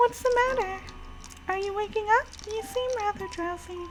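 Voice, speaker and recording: The speaker uses a squeaky, put-on character voice at a moderate pace. Background noise is clearly audible. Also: woman, extremely high pitch for a woman. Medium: game stream. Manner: polite, formal, addresses the master.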